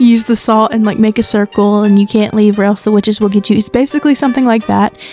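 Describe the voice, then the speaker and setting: Over music in the background, a woman talks very fast in a fairly high pitch. Her intonation stays fairly even. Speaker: podcaster / folklore channel host. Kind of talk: casual podcast-style folklore talk. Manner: casual, conversational.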